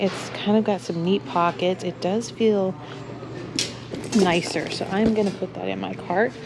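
A woman speaks with ordinary pitch variation against noticeable background noise. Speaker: thrift shopper vlogger. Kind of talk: casual vlog chat. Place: shop. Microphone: phone near.

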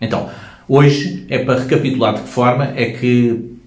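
Audible room echo surrounds a man's voice. He speaks with a European Portuguese accent and ordinary pitch variation. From Portugal. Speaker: hypnotherapist and self-help youtuber; self-help youtuber. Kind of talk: informational video monologue. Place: home room. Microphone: phone near.

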